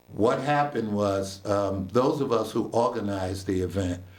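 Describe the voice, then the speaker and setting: In a room with audible echo, a man with a fairly low pitch talks at a moderate pace with an American accent. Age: 60s. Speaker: local historian. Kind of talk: radio interview.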